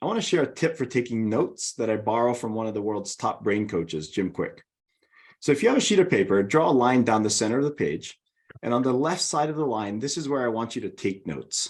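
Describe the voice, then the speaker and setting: At a fairly quick pace, a man speaks at medium pitch with a Hawaiian accent. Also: quiet background. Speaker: learning and development director. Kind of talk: webinar presentation.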